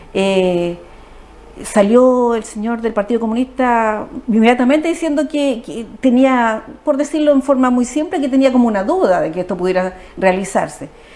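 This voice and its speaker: Over noticeable background noise, a woman talks at a high pitch with lively intonation. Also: moderate pace. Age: 60s. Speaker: social worker, politician. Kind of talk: TV interview.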